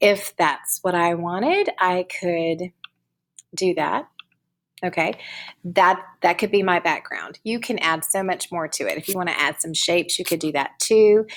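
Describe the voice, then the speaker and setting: A woman with an ordinary speaking voice talks at a fairly slow pace. Her pitch sits fairly low. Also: ordinary pitch variation. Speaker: teacher. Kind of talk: tutorial. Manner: casual.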